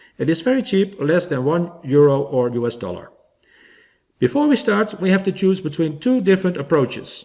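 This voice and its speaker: A man with a Dutch accent speaks at a moderate pace and high pitch. His dark, mellow tone carries very wide pitch swings. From Netherlands. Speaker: DIY electronics hobbyist. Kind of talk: tutorial.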